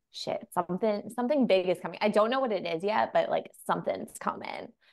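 A woman talks at a fairly quick pace with an American accent and ordinary pitch variation. It is an unremarkable speaking voice. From New York. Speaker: tarot reader and psychic medium. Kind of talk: casual interview chat.

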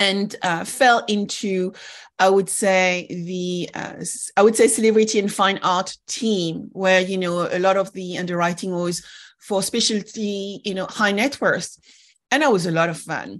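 A woman with an ordinary speaking voice talks at a fairly slow pace and medium pitch. Her intonation is fairly even, and the background is quiet. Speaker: podcast host. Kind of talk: interview conversation.

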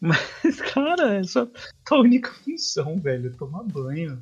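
A man speaks with very wide swings in pitch. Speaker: sports podcast host. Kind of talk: casual sports chat.

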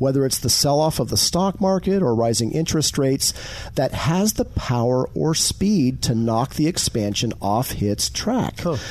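Someone speaks at a moderate pace with very wide pitch swings against noticeable background noise. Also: man. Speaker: co-host. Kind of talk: radio host patter. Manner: conversational, easygoing.

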